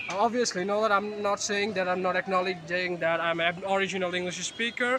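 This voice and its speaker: A man's high, raised and projected voice with a Bengali accent, very fast, with very even loudness, fairly even intonation and noticeable background noise. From Bangladesh. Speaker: vlogger. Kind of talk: vlog monologue. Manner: halting, many fillers.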